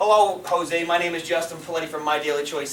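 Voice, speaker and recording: A man talks at a fairly quick pace and a fairly high pitch, with noticeable background noise around him. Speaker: network marketing leader. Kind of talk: sales training talk. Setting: stage with audience. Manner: fast; animated.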